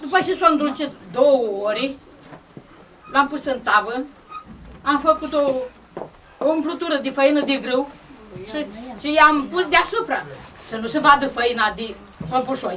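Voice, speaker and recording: Someone speaks in a Moldavian accent at a fairly slow pace, with long, frequent pauses. Noticeable background noise sits behind the voice. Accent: Moldavian Romanian rural. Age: 70s. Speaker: elderly village woman presenting traditional food. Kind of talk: demonstration talk at a village gathering.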